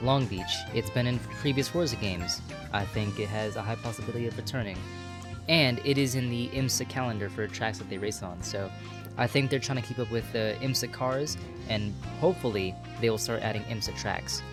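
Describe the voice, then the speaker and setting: With music in the background, a man talks at a fairly quick pace using lively intonation. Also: fairly low pitch for a man. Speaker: sim racing gamer. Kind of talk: casual gaming commentary voice-over. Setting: home microphone, static noise. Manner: casual, hesitant.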